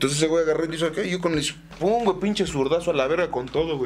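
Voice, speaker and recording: A man's high-pitched voice at a very fast pace with ordinary pitch variation, over noticeable background noise. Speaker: comedy podcast co-host. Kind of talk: casual chat. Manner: animated.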